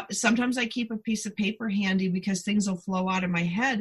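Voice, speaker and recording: A woman talks in a bright, sharp tone with ordinary pitch variation. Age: 50s. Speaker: podcast host. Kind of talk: casual chat. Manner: animated.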